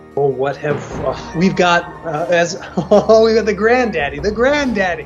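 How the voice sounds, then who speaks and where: A man with a high voice, speaking at a fairly slow pace over background music. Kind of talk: casual podcast talk, trailer reaction.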